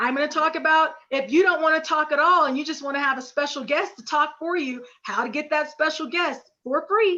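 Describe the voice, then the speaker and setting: A woman's raised, projected voice, high in pitch and energetic in tone, at a fairly quick pace with hardly any pauses. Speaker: business coach. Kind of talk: webinar presentation.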